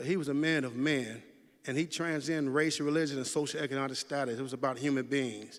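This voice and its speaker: A man talks at a very fast pace in a fairly high pitch. His intonation stays fairly even. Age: 60s. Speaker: memorial speaker, community mentor. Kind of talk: eulogy speech.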